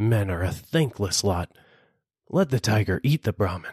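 In a put-on character voice, a man speaks with a fairly low, rumbling pitch, lively intonation and very even loudness at a moderate pace, the sound dry and close with no echo against a quiet background.

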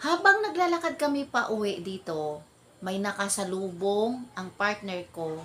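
Speaking at a fairly slow pace, a woman with a medium pitch uses lively intonation and an animated tone over noticeable background noise. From Philippines, Ilonggo-speaking. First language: Hiligaynon (Ilonggo) (speaking Tagalog). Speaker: vlogger. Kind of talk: casual storytelling vlog.

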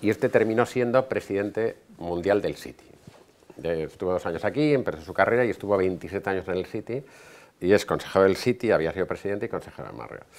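Fairly low in pitch, a man speaks at a very fast pace. His voice shows ordinary pitch variation and big swings in loudness. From Spain. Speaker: hotel business owner; guest. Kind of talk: lecture. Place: hall. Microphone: podium.

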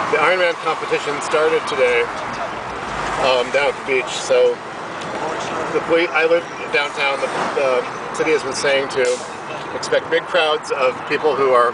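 A man at a moderate pace, with long, frequent pauses, loud background noise and a dry sound with no echo. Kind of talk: casual travel vlog narration. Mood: relaxed, wry. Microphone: phone near.

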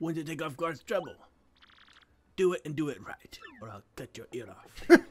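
A gruff, put-on character voice of middle pitch, moderate in pace, with long, frequent pauses. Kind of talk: comic let's-play dialogue reading. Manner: gruff, threatening.

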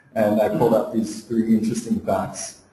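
Audible room echo and light background noise surround a man's voice. He keeps a moderate pace and fairly even intonation. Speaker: presenter. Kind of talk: webinar presentation.

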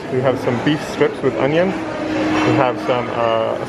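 Loud background noise runs under this clip. A man speaks with ordinary pitch variation. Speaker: travel vlogger. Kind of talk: casual tour commentary. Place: hall. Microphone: phone near.

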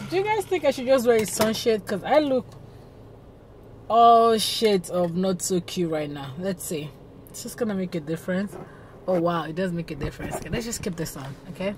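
Loudness swings widely as a woman talks at a fairly quick pace. The sound is dry with no echo, over light background noise. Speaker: vlogger. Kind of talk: casual vlog chat. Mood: cheerful, playful. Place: car.

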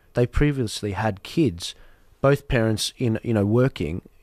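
The background is quiet and the sound is dry with no echo. A man speaks at a fairly low pitch with ordinary pitch variation. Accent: Australian. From Australia. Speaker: podcast host. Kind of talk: heated debate. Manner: animated. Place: studio. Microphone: studio mic.

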